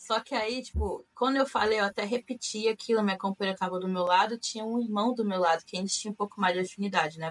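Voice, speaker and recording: Very fast delivery with hardly any pauses, ordinary pitch variation, and noticeable background noise. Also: woman, medium pitch for a woman. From Brazil, Rio de Janeiro state (Macaé). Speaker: returned missionary. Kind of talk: casual interview.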